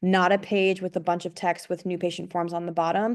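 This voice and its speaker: Against a quiet background, a woman with a fairly low voice speaks at a fairly quick pace in a monotone, flat intonation. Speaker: web design business owner presenting. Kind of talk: presentation on a group video call.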